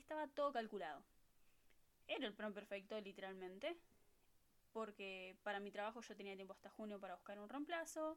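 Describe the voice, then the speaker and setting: A woman with a Rioplatense accent talks at a fairly quick pace and medium pitch with lively intonation. She takes long, frequent pauses. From Buenos Aires, Argentina. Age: 20s. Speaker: au pair podcast host. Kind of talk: casual monologue.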